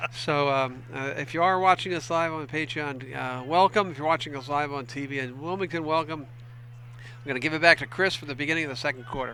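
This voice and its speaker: Fairly quick, hardly pausing, a man's fairly high, bright, sharp voice with an American accent and ordinary pitch variation. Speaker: football color commentator. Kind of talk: live commentary. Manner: fast.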